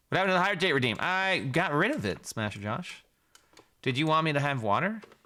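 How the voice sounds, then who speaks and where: A man with an American accent talks at a very fast pace in a fairly high pitch, his tone animated, bright and sharp, with very wide pitch swings, on a very clean recording with a silent background. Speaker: video game streamer. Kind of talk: live stream commentary. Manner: casual, animated.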